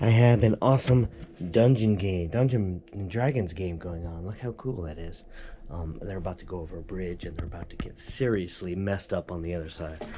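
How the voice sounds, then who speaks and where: Loudness swings widely, with noticeable background noise throughout. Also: man, very deep, low pitch for a man, ordinary pitch variation, fairly quick pace. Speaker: crafting youtuber. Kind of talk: crafting tutorial. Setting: home studio.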